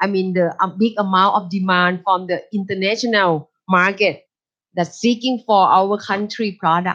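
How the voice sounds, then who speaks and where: A woman with a Thai accent talks at a fairly slow pace. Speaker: university lecturer. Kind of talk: lecture.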